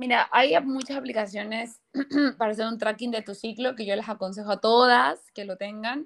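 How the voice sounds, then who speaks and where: With an ordinary speaking voice, a woman talks at a moderate pace, her fairly high pitch showing ordinary variation. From Ecuador. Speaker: nutrition and hormonal health professional. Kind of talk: interview, health explanation.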